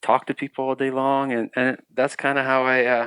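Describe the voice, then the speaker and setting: With an American accent, a man speaks at medium pitch and a moderate pace in a monotone, flat intonation. The sound is dry and close, with no echo. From Ukraine, then East Tennessee from age 12. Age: 30s. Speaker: refugee telling his faith story. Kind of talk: interview testimony. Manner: halting, many restarts.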